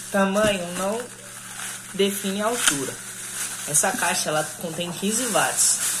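Noticeable background noise around a woman speaking at a fairly slow pace. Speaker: product demonstrator. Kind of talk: casual product unboxing tutorial. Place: home room. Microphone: phone near.

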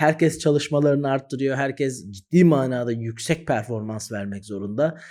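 A man's unremarkable speaking voice at medium pitch and moderate pace, with ordinary pitch variation. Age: 30s. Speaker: exam-prep teacher, YouTuber. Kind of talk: direct-to-camera advice talk.

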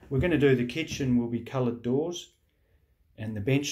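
Against a quiet background, a somewhat breathy voice with a dark, mellow tone keeps fairly even intonation. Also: man. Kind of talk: casual vlog chat. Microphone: phone near.

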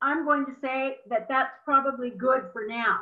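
Against a quiet background, a woman speaks in a high pitch. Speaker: webinar moderator. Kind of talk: webinar moderation. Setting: video call. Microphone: video call.

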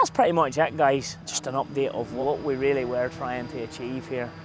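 Faint background music under a man at a moderate pace, with ordinary pitch variation and a dry sound with no echo. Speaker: farm contractor vlogger. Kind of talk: casual vlog chat. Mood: upbeat, cheerful. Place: open country. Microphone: phone near.

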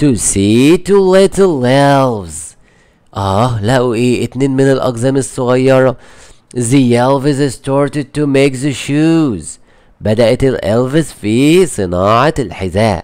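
A man with an Egyptian accent speaks at a very slow pace and medium pitch, his intonation lively and his loudness very even. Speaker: English teacher. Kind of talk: tutorial. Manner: repetitive, slow explanatory.

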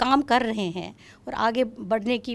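Her voice is a plain, everyday voice, fairly high in pitch for a woman and with ordinary pitch variation. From Kashmir, Srinagar; Kashmir. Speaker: classical vocalist, retired music professor; retired music professor. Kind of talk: interview. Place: studio. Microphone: handheld.

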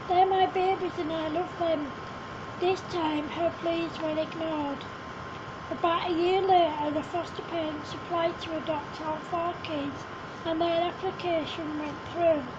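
Amid noticeable background noise and audible room echo, a woman speaks at a fairly slow pace in an extremely high, monotone, flat voice. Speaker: amateur storyteller. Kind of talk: reading aloud.

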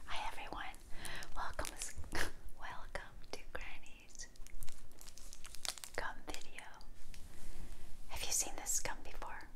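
Noticeable background noise sits behind a woman speaking at a very slow pace. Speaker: ASMR gum chewing creator. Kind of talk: casual whispered ramble to camera. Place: home room. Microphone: lapel.

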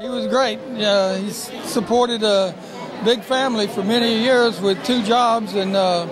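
A man talks at a fairly slow pace. The sound is dry with no echo, yet noticeable background noise is present. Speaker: son of the birthday honoree. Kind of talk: interview answer. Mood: warm, fond. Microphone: handheld.

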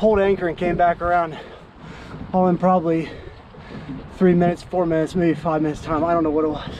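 A man speaks at a moderate pace in a high, slightly mellow voice with little pitch movement over faint background noise.

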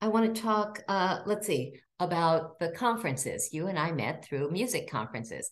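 Speaking at a moderate pace in an American accent, a woman lets her pitch swing very widely, with vocal fry in her voice. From Maryland. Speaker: state senator and folk show host; state senator, folk show host. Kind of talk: interview. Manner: warm. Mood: warm, enthusiastic. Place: home room. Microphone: video call.

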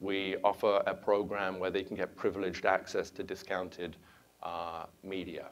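The speaker has a London accent and a moderate pace. Light background noise sits underneath. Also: man. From England, London. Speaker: venture capitalist. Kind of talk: conference talk. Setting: stage with audience. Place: hall. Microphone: lapel.

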